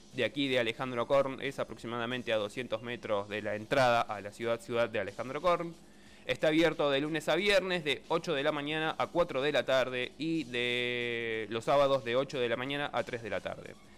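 A man with a Buenos Aires accent talks at a moderate pace with hardly any pauses, medium pitch and ordinary pitch variation. Music plays in the background. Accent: Argentine Spanish (Buenos Aires area). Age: 30s. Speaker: radio co-host and technical operator. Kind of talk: casual radio chat.

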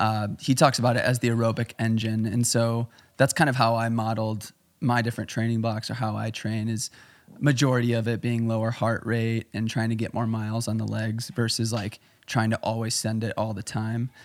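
The recording is very clean, with a silent background. A man with an American accent talks at a fairly quick pace in a monotone, flat delivery. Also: medium pitch for a man. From Chicago, US Midwest. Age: 20s. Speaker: photographer, filmmaker and amateur runner. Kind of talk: casual podcast interview.

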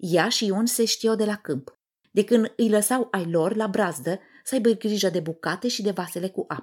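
This woman has a plain, everyday voice at a medium pitch. She talks at a moderate pace with lively intonation. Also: very clean recording, silent background. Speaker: podcast host, communication coach. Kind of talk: scripted lecture; storytelling monologue.

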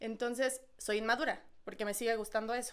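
A woman talks with a Mexican accent at a fairly quick pace. Her pitch is fairly high. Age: 20s. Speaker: podcast co-host. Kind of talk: casual chat.

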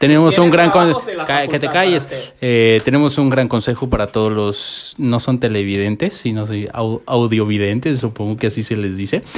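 There is noticeable background noise as a man speaks with lively intonation and hardly any pauses. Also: medium pitch for a man, moderate pace. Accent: Mexican. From Mexico, Morelia, Michoacán. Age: 20s. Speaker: podcast co-host. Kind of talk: casual chat. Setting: home.

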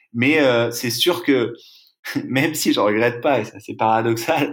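A man speaks at a fairly slow pace with ordinary pitch variation. His pitch sits in the medium range. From Brittany, France. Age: 30s. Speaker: eco-adventurer. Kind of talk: interview. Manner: hesitant, many fillers.

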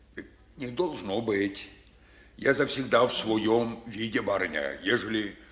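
The speech is plain reading aloud. Pitch varies in an ordinary way.

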